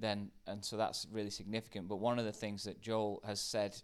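A man speaks with a British accent at a fairly low pitch. The recording is very clean, with a silent background. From UK. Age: 40s. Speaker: pastor. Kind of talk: casual chat.

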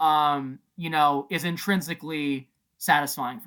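At a moderate pace, a man with a fairly high pitch speaks in a very clean recording with a silent background. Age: 30s. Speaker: teacher. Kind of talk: casual chat. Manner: halting, many repetitions and fillers.

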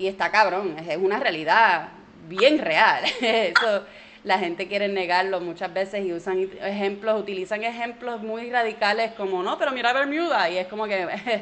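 A woman speaks at a moderate pace and medium pitch with a Puerto Rican accent. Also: ordinary pitch variation. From Puerto Rico, partly raised in Orlando. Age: 30s. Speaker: comedian. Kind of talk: interview conversation.

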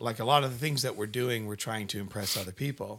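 Against a silent background in a very clean recording, a man talks with medium pitch and ordinary pitch variation. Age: 30s. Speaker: podcast host. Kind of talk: casual interview. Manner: animated.

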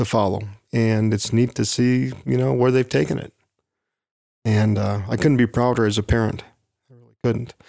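With ordinary pitch variation, a man talks in a medium-pitched voice. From US Midwest, Wisconsin. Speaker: retired delivery worker, parent. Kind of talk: casual interview. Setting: walk-in closet at home.

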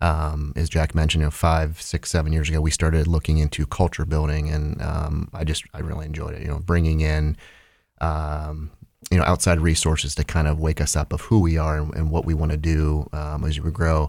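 In a Midwestern US accent, a man speaks with a very deep, low pitch and monotone, flat intonation. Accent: US Midwest. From Ohio, Holmes County. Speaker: business owner. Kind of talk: interview.

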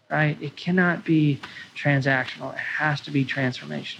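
Noticeable background noise sits behind a man with a fairly high pitch. He keeps a moderate pace with ordinary pitch variation. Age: 20s. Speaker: restaurant owner. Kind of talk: interview.

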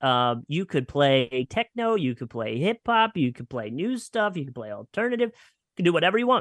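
With a slight Philadelphia accent, a man at fairly high pitch talks at a moderate pace with very wide pitch swings. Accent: slight northern US (Philadelphia area). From Pennsylvania, near Philadelphia. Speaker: radio personality. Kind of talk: casual interview chat.

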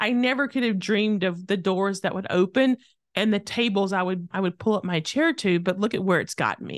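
A plain, everyday voice from a woman with an American accent, medium in pitch at a fairly quick pace, in a dry, close sound with no echo and a quiet background. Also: ordinary pitch variation. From rural Tennessee, US South. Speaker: author, speaker and former lobbyist. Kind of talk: interview.

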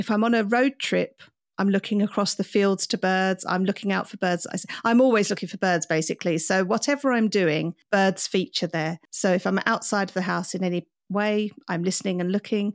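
A woman with an English accent at a medium pitch, moderate pace and ordinary pitch variation, in a dry, close sound with no echo and a very clean recording with a silent background. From England. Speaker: podcast host, birder. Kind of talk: interview.

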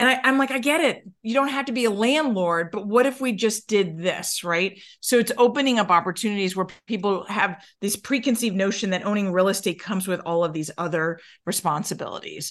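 Speaking with an American accent, a woman uses a normal speaking voice at medium pitch, with lively intonation and a fairly quick pace. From New York. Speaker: mortgage loan officer. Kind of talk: interview conversation.

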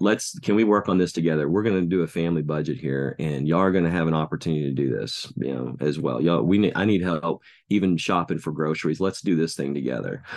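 A man with a Texan accent and a very deep, low pitch, very fast pace, hardly any pauses and ordinary pitch variation, over a quiet background. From Texas, Denton. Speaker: children's minister. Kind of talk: interview conversation. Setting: call. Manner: halting.

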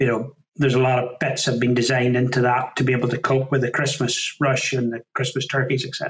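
Talking at a very fast pace, a man keeps a medium pitch with monotone, flat intonation. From Northern Ireland, County Down. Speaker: farmer and butcher business owner. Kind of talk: interview.

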